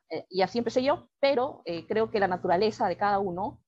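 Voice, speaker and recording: Music behind a woman speaking at a moderate pace. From Peru, Lima. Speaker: writer. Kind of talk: interview.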